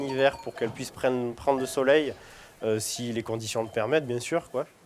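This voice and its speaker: A man delivers his words fairly quickly in a flat, monotone way. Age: 30s. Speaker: cheese-making dairy farmer. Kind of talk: interview. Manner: halting, many hesitations.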